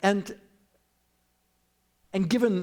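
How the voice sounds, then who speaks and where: With a Boston accent, a man speaks at a fairly slow pace. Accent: Boston American. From US Northeast, Boston. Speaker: professor. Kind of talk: lecture. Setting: church with audience.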